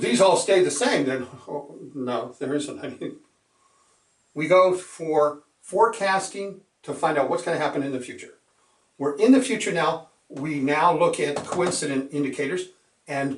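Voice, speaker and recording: Speaking at a moderate pace, this man has an unremarkable speaking voice, pitched fairly high with ordinary pitch variation. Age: 60s. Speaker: securities exam instructor. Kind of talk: lecture. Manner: conversational, with filler words.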